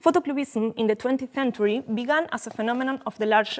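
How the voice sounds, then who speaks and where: A woman's high voice with ordinary pitch variation. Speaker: art historian lecturer. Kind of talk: lecture read from script. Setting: university lecture hall. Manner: halting, self-correcting.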